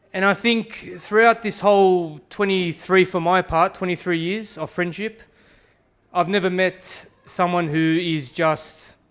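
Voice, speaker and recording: Fairly slow, fairly even speech from a man with an Australian accent. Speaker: best man. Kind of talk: wedding speech.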